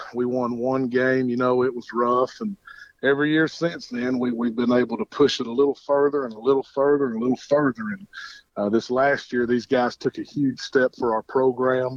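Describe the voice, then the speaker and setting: Man with a Southern US accent, medium pitch, moderate pace and fairly even intonation. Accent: Southern American. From Georgia, US South. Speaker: high school football coach. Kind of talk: phone interview. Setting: phone call.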